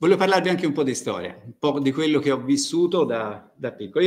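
The speech comes very fast and carries vocal fry. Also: man. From Tuscany, Italy. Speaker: university agronomy researcher; conference presenter. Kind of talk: lecture. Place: hall. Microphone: podium.

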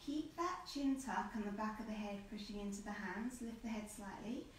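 A woman talks at a moderate pace with a fairly high pitch and ordinary pitch variation. Audible room echo and light background noise are present. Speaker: Pilates instructor. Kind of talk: tutorial. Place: home room. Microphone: camera far.

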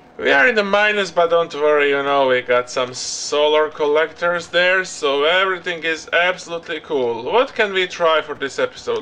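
A man at a moderate pace with hardly any pauses and ordinary pitch variation. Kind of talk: gameplay commentary. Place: home room.

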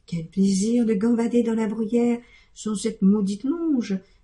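The clip is plain reading aloud with fairly even intonation.

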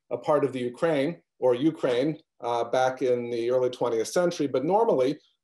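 Pitch varies in an ordinary way against a quiet background. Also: man. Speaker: event host introducing a guest. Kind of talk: formal introduction of a lecture speaker. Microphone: video call.

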